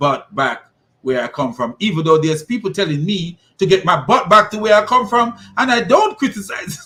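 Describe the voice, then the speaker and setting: A man with a non-native accent speaks in a bright, sharp tone. His delivery is animated, with lively intonation. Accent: noticeable foreign. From immigrant to the US. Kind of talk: opinion monologue.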